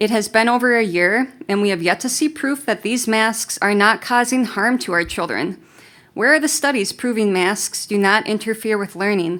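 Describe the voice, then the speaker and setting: On a very clean recording with a silent background, the speaker keeps a moderate pace and ordinary pitch variation. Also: woman, fairly high pitch for a woman. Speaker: parent speaking at public forum. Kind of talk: prepared public comment. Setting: school board meeting. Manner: soft-spoken.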